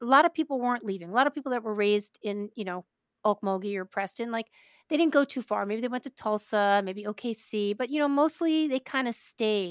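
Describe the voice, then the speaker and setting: A woman with an American accent and a fairly high pitch speaks at a moderate pace with ordinary pitch variation, in a plain, everyday voice. The sound is dry and close with no echo. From New York, Brooklyn. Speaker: podcast host. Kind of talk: casual interview.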